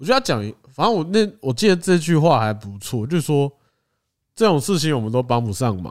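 Very wide pitch swings at a fairly quick pace with a Taiwanese accent, on a very clean recording with a silent background. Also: man, fairly high pitch for a man. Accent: Taiwanese Mandarin. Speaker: podcast co-host. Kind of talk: casual chat.

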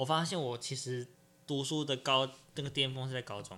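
At a fairly quick pace, a man with a medium pitch and a bright, sharp tone shows ordinary pitch variation in a very clean recording with a silent background. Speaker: podcast host. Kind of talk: casual chat.

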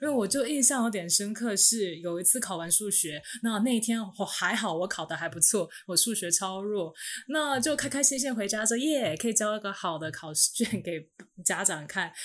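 A woman with an ordinary speaking voice talks at a moderate pace, medium in pitch and with lively intonation. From Taiwan. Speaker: former international school student. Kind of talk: casual chat.

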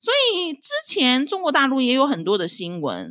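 A woman talks at a fairly slow pace. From China, Dalian (northeast). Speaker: podcast host, housewife. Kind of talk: solo casual commentary.

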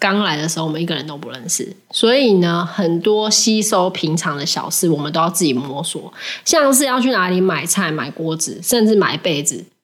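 A woman's fairly low voice at a moderate pace with lively intonation, over noticeable background noise. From Taiwan. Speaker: podcast co-host. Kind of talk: casual chat.

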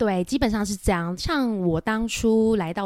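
This is an unremarkable speaking voice from a woman. Her pace is moderate and her pitch varies in an ordinary way. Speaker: private banker. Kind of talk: interview conversation.

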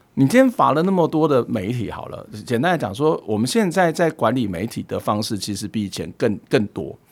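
A man speaks at a fairly quick pace with hardly any pauses, his medium-pitched voice carrying vocal fry and very wide pitch swings. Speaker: professor. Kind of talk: casual chat.

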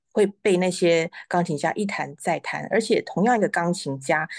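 A woman's unremarkable speaking voice at a medium pitch and moderate pace, dry and close with no echo over a quiet background. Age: 40s. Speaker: pianist, piano teacher and author. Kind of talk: interview. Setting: live stream.

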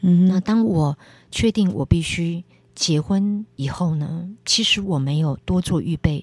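In a dry, close sound with no echo, a woman talks very slowly in a fairly low, somewhat breathy voice with ordinary pitch variation. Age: 50s. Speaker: preacher. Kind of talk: testimony.

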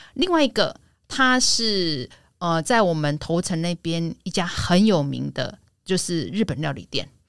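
In an ordinary speaking voice, a woman speaks at a fairly slow pace, her fairly low pitch carrying lively intonation. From Taiwan, Yilan. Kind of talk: casual chat.

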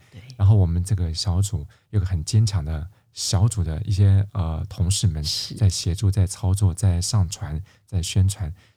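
With a very deep, low pitch and a dark, mellow, somewhat breathy tone, a man speaks at a moderate pace, his intonation fairly even but his loudness swinging widely. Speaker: classical music radio host. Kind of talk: casual interview chat.

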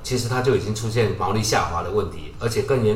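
Against noticeable background noise and audible room echo, a man speaks at a medium pitch with fairly even intonation. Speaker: tech industry podcast co-host. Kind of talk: casual chat.

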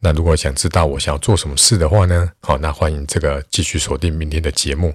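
With a very deep, low pitch, a man speaks in a somewhat breathy voice with ordinary pitch variation. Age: 40s. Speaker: math tutor and podcaster. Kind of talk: solo podcast monologue. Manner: casual, many filler particles.

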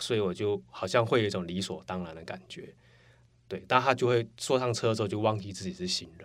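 Using an unremarkable speaking voice, a man talks at a fairly quick pace and fairly low pitch, with ordinary pitch variation and big swings in loudness. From Taiwan, Taipei. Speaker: former coworker of host. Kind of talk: casual chat.

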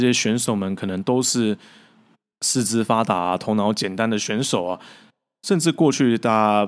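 A man talks with ordinary pitch variation and long, frequent pauses on a very clean recording with a silent background. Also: fairly low pitch for a man. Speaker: football commentator and podcast host. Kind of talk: solo podcast monologue.

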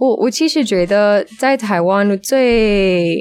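At a very slow pace, a woman speaks with ordinary pitch variation. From United States. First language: English (speaking Chinese). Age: 20s. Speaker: language student. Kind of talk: casual interview. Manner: halting.

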